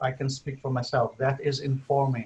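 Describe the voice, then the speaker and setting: This man's somewhat breathy voice sits at a fairly high pitch. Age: 60s. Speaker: spiritual teacher and interviewer. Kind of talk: casual chat. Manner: halting.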